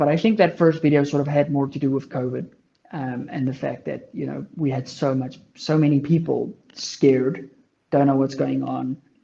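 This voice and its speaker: A dark, mellow tone marks this man's fairly high-pitched voice. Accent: South African. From South Africa. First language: Afrikaans. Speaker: long range shooting content creator. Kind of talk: casual chat.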